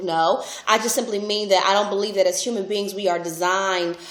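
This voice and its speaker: There is audible room echo and noticeable background noise. A woman with a medium pitch talks at a fairly quick pace in a monotone, flat way. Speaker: relationship speaker and vlogger. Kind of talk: casual vlog monologue.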